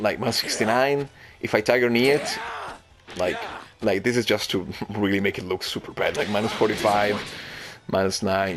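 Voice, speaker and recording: The voice moves at a moderate pace with ordinary pitch variation. Music plays in the background. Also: man. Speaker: fighting game player. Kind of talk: gameplay commentary. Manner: hesitant, stuttering.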